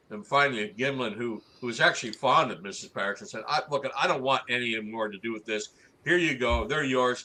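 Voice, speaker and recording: A man's medium-pitched voice with a bright, sharp tone, a fairly quick pace, ordinary pitch variation and big swings in loudness. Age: 60s. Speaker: Sasquatch researcher. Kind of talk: interview.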